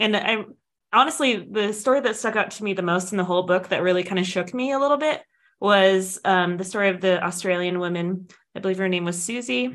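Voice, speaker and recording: This woman has an ordinary speaking voice at a medium pitch. She talks at a fairly quick pace with lively intonation. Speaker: podcast co-host. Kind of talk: casual chat.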